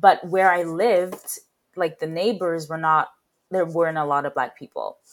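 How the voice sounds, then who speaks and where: A woman's plain, everyday voice, fairly low in pitch, with fairly even intonation at a moderate pace. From Saskatchewan, Canada (from age 13; earlier UK). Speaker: actor and arts educator. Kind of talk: casual interview.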